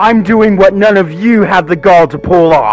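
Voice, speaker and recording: A man uses a put-on character voice at high pitch, raised and projected. Clear music plays in the background. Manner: snarling.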